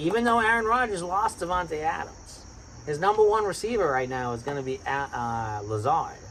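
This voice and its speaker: An animated man with a Boston accent talks at a moderate pace, his pitch swinging very widely. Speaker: sports podcast host. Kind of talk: casual chat.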